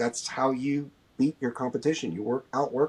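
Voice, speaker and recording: The speaker uses an American accent and keeps a moderate pace. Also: man. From US Midwest, Ohio (Dayton area). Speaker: clothing brand founder. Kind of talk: podcast interview. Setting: podcast recording.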